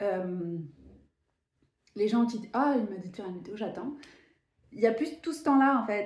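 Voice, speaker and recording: Somewhat breathy and lively in intonation, a woman speaks at a fairly high pitch with big swings in loudness. Long, frequent pauses and audible room echo mark the clip. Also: moderate pace. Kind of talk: casual spiritual vlog monologue. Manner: animated.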